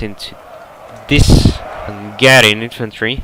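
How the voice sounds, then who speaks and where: A man talks with an Eastern European accent. Noticeable background noise runs under his voice. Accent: Slavic. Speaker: game match commentator. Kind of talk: video game match commentary.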